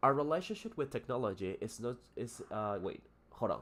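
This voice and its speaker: Speaking at a fairly quick pace, a man talks with a Spanish accent. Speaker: English teacher. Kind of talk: live stream lesson. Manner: halting, many fillers.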